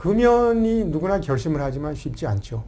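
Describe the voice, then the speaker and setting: With audible room echo, a man speaks in a somewhat breathy, dark, mellow tone at a moderate pace, his pitch swinging very widely. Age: 60s. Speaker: family life coach and author. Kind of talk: talk show interview. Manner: animated.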